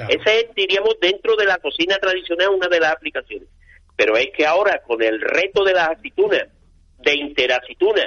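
The man talks at a fairly quick pace. His loudness stays very even throughout. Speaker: olive industry association president. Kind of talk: interview.

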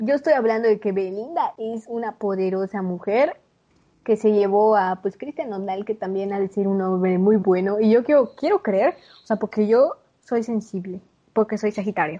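A woman speaks at a moderate pace with a fairly high pitch, a dark, mellow tone and ordinary pitch variation. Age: 20s. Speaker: podcast co-host. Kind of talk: casual chat.

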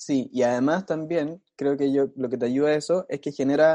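This man's voice has a dark, mellow tone and a fairly high pitch, moving at a moderate pace with fairly even intonation. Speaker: podcast co-host. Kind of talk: casual chat.

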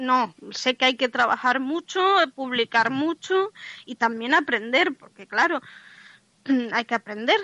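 A woman's high, raised, projected voice, bright and sharp in tone, fairly slow with ordinary pitch variation, in dry, close sound with no echo. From Madrid, Spain. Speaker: novelist. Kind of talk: radio interview.

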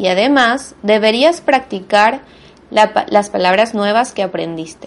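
A woman with vocal fry speaks at a very slow pace and fairly high pitch with lively intonation. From Venezuela. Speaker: language teacher and podcast host. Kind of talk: monologue lesson for Spanish learners. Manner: clear, deliberate for learners.

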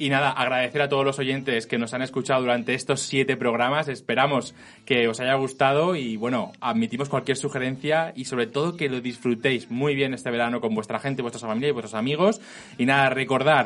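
A man with an ordinary speaking voice talks at a fairly quick pace, medium in pitch, with fairly even intonation. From Spain, Elche. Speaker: podcast host. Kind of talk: casual chat. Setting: studio.

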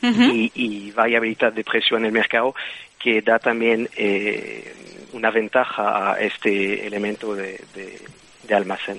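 This man speaks in a Belgian accent at a medium pitch. His delivery is fairly slow and monotone, with flat intonation. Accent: Belgian foreign. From Belgium. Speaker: bioengineer. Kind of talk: interview. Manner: hesitant.

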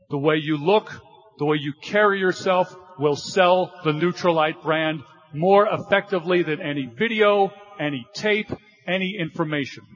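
There is noticeable background noise as a man speaks at a fairly slow pace. His voice is high, with ordinary pitch variation. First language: English (speaking Spanish). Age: 50s. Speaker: corporate speaker at a sales event. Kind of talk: motivational presentation with live interpretation.

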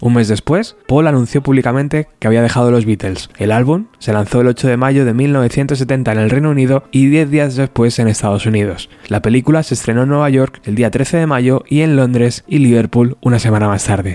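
An ordinary speaking voice from a man at medium pitch, moving at a moderate pace with hardly any pauses. His loudness is very even and his pitch variation is ordinary. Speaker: podcast host. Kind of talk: reading aloud.

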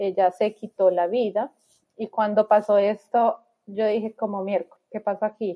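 A woman speaks in a normal speaking voice at medium pitch, with fairly even intonation and a moderate pace. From Colombia, Bogotá. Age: 30s. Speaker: immigrant mother. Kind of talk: interview.

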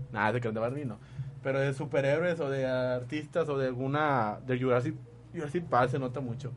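Audible room echo surrounds a man speaking at a fairly quick pace. His pitch is medium and his intonation fairly even. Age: 20s. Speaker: radio host. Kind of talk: casual chat.

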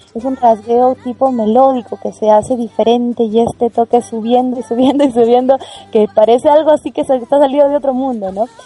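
A woman speaks at a high pitch and a fairly quick pace, with fairly even intonation. The sound is dry and close with no echo, over noticeable background noise. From Peru, Arequipa region. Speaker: singer and music teacher. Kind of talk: interview.

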